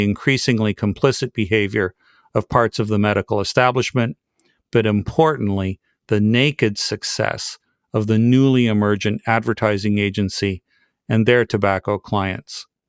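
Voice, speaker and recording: Heard here is a man with an unremarkable speaking voice, fairly low in pitch with ordinary pitch variation at a moderate pace. The sound is dry and close with no echo, on a very clean recording with a silent background. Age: 60s. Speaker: podcast host. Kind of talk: scripted narration.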